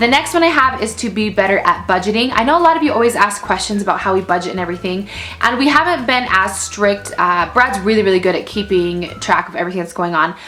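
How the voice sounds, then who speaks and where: A woman talks at a very fast pace with hardly any pauses, her tone animated and her intonation lively. Noticeable background noise runs underneath. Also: medium pitch for a woman. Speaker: mommy vlogger. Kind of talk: casual vlog monologue. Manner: loud.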